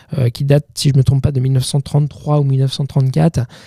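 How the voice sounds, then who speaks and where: Somewhat breathy and dark, mellow in tone, a man talks at a very fast pace in a dry, close recording with no echo. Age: 30s. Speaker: film director. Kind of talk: interview answer. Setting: podcast studio. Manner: hesitant, with stuttering and repetitions.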